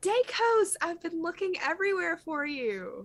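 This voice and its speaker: A squeaky, extremely high put-on character voice at a moderate pace. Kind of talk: addressing someone he has been looking for. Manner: completely different voice from the speaker's normal one.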